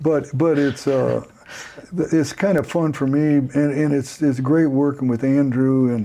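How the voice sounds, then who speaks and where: A man speaks at a fairly slow pace in a fairly high voice, with fairly even intonation. His loudness stays very even against noticeable background noise. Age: 70s. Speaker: pastor and leadership coach. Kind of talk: casual chat. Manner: halting.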